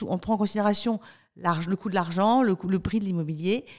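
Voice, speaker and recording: A woman's energetic tone at a very fast pace, on a very clean recording with a silent background. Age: 40s. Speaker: company spokesperson. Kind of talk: podcast interview. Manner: frequent hesitations.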